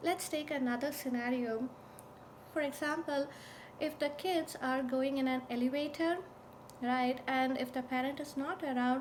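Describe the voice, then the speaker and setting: A woman speaks with a high pitch and fairly even intonation, keeping her loudness very even. She leaves long, frequent pauses. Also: moderate pace. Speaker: parent educator. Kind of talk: tutorial. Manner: soft-spoken; halting.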